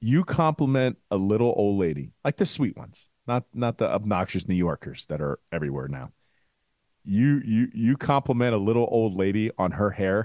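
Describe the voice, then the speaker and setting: At a moderate pace, a man with a fairly low pitch makes very wide pitch swings, the sound dry and close with no echo. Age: 40s. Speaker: sports podcast co-host. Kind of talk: casual chat.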